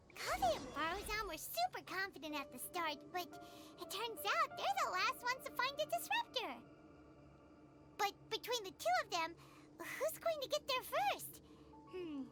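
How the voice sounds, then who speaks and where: A put-on character voice, squeaky and extremely high in pitch, comes across with an energetic tone at a moderate pace, broken by long, frequent pauses, over loud background noise. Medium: video game. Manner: bright, energetic.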